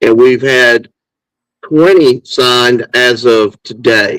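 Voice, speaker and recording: The man's medium-pitched voice, with an American accent, sounds dry and close with no echo. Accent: Southern US, redneck. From Alabama, US South. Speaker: football podcast co-host. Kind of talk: casual chat.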